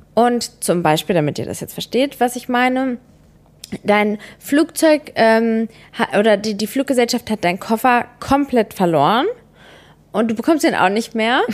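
With a fairly high pitch and lively intonation, a woman talks at a fairly slow pace with long, frequent pauses on a very clean recording with a silent background. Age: 20s. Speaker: podcast co-host. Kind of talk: casual chat.

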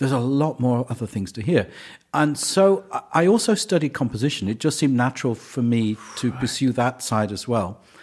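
Speaking with an English accent, a man moves at a fairly quick pace with a medium pitch and lively intonation. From England. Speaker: conductor. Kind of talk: casual interview.

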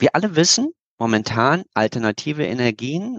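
A man speaks at a very slow pace, the sound dry and close with no echo. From Berlin, Germany. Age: 50s. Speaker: geopolitical expert and speaker. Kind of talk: interview.

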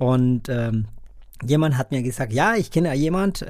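This man's pitch varies in an ordinary way as he talks fairly slowly. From Colombia. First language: Spanish (speaking German). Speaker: podcast host. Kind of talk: interview.

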